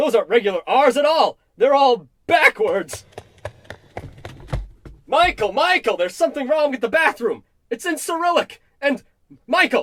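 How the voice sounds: Putting on a character voice, a man speaks at a fairly slow pace in an extremely high, fairly bright voice, with big pitch swings and long, frequent pauses.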